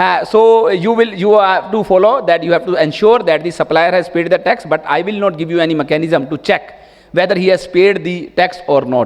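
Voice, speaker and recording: This man talks with an Indian accent, his pitch high and its variation ordinary. He barely pauses at all. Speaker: tax expert, conference speaker. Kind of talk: conference presentation. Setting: stage with audience. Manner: fast.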